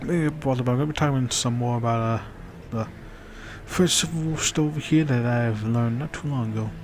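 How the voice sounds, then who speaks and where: A soft-spoken man talks at a fairly quick pace and a medium pitch, with ordinary pitch variation. Noticeable background noise runs behind him. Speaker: YouTuber discussing a game mod. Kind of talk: casual commentary and reading aloud. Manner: soft-spoken, quiet; halting, stumbling over names.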